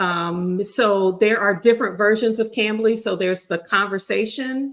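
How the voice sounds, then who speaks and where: This is a woman with a normal speaking voice at medium pitch and ordinary pitch variation. She talks at a moderate pace in a very clean recording with a silent background. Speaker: remote worker sharing job-search experience. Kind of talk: casual chat.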